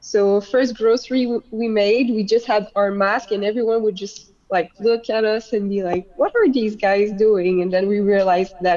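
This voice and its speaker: In a French accent, the speaker has a dark, mellow tone, fairly even intonation and a moderate pace with hardly any pauses. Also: woman, medium pitch for a woman. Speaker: beach volleyball player. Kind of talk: casual chat.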